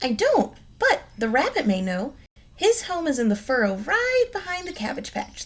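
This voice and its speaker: Putting on a character voice, a woman talks at a moderate speed, her high pitch swinging very widely. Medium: read story. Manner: fast, chattering, repeats herself.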